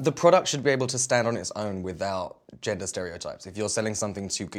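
Speaking very fast with a British accent, a man has a fairly low pitch. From Britain. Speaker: singer-songwriter, talk show guest.

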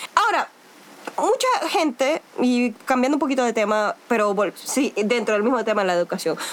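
Noticeable background noise accompanies a woman's high voice as she speaks at a moderate pace with very wide pitch swings and very even loudness. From Venezuela. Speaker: podcast host, educator. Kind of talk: casual chat.

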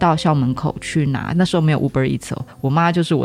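Over music in the background, a woman with a very deep, low pitch talks at a fairly quick pace with fairly even intonation. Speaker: teacher. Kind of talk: casual chat.

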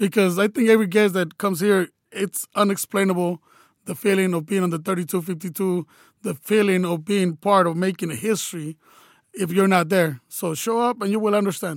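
A man with an American accent speaks at a high pitch and a fairly quick pace, with ordinary pitch variation. The sound is dry and close with no echo, on a very clean recording with a silent background. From California. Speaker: soccer supporters group member. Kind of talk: casual interview. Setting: studio.

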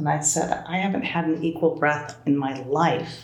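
A woman with an American accent speaks at a moderate pace in a very deep, low voice. Noticeable background noise runs underneath. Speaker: Buddhist teacher.

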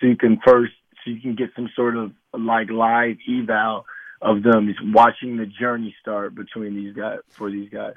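A man speaks at a medium pitch with monotone, flat intonation. His pace is moderate. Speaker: former NFL player and sports media host. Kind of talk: radio interview.

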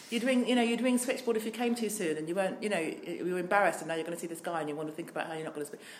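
With hardly any pauses, a woman with a southern English accent and medium pitch talks at a very fast pace and with lively intonation over noticeable background noise. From southern England, Worthing (Nigerian heritage). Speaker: diversity trainer and business owner, LGBT activist. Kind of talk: interview. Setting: office.

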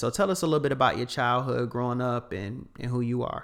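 This very clean recording has a silent background. A man speaks at a medium pitch with fairly even intonation. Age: young. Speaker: podcast host. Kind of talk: casual chat.

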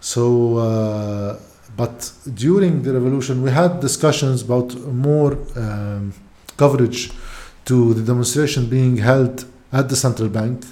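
A man talks at a fairly slow pace with a Lebanese accent. His pitch is medium, with ordinary pitch variation. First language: Arabic. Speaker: podcaster and former TV journalist. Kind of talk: casual interview conversation.

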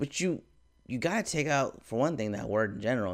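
A man talks very fast at a medium pitch, with lively intonation. The recording is very clean, with a silent background. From Mexican and Filipino heritage. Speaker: podcast host. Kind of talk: casual monologue. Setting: home apartment.

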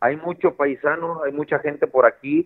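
A man speaks with fairly even intonation. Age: 30s. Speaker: professional footballer. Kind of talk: interview. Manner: halting, many repetitions.

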